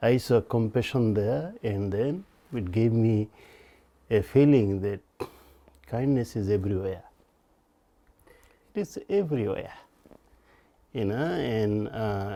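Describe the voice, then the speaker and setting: Fairly slow speech with long, frequent pauses, a dark, mellow tone and ordinary pitch variation. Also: man. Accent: Bengali. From Bangladesh. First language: Bengali. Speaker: storyteller recounting his life. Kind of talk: personal storytelling interview.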